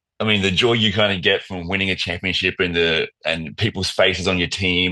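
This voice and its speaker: A man speaks with a very deep, low pitch. His tone is bright and sharp, with ordinary pitch variation. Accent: Australian. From Australia, Wollongong. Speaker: professional basketball player. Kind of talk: casual chat.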